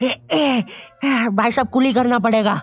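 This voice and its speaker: Using a cartoonish character voice, a man speaks at an extremely high pitch with fairly even intonation and a moderate pace. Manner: polite, addresses people as "bhai sahab".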